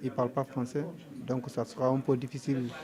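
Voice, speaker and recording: Behind noticeable background noise, a man keeps to a moderate pace. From Senegal. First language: Mandinka (speaking French). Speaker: undocumented migrant. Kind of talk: interview testimony. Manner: halting, with hesitations.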